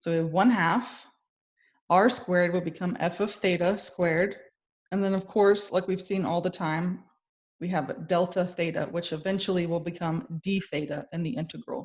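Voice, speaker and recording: A woman talks in a fairly low pitch with a somewhat breathy sound. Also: ordinary pitch variation, moderate pace. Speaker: math instructor. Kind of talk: lecture.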